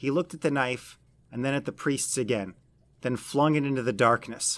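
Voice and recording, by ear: On a very clean recording with a silent background, a man in a plain, everyday voice speaks at a moderate pace and a medium pitch.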